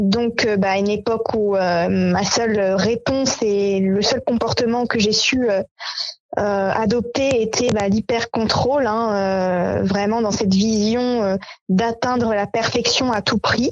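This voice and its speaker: A woman at a very slow pace, fairly high in pitch, with fairly even intonation and very even loudness. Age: 30s. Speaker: association co-founder. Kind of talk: interview. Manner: hesitant, many fillers.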